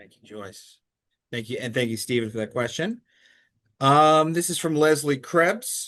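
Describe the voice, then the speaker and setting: A man with a New York accent and a fairly high pitch speaks at a fairly slow pace with long, frequent pauses. His intonation is lively, and his loudness swings widely. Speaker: lecture moderator. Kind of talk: audience Q&A moderation.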